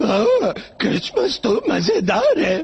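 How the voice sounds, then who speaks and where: A man puts on a character voice. It is pitched extremely high. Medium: fan dub. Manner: stammering, nervous.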